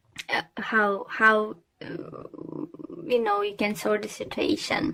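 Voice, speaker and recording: At a very slow pace, a woman speaks with a non-native accent. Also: fairly high pitch for a woman. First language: not English. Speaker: tarot reader. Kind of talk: tarot reading. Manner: halting, many fillers.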